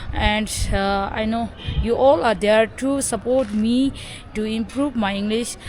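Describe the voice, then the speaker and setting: Noticeable background noise sits behind a woman with a fairly high pitch speaking at a fairly slow pace with ordinary pitch variation. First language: Tibetan. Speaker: Buddhist nun and vlogger. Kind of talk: vlog introduction. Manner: halting, many fillers.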